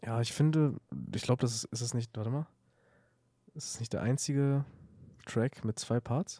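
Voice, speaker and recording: A man's medium-pitched voice at a moderate pace, fairly even in intonation, with long, frequent pauses and a dry, close sound free of echo. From Lower Saxony, Germany (Salzgitter). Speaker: beat producer. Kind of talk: casual chat.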